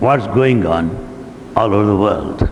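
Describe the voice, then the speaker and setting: A man speaks with an Indian accent over noticeable background noise, with audible echo from the room. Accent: Indian English, Telugu. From India, Telugu-speaking region. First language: Telugu. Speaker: spiritual lecturer. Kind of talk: lecture. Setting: hall with live audience.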